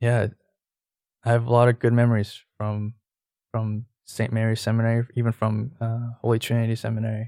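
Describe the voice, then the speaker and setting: With an American accent, a man speaks in a dark, mellow tone and monotone, flat intonation, in a dry, close sound with no echo. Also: medium pitch for a man, moderate pace. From Houston, Texas. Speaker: former police officer and ex-seminarian. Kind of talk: interview.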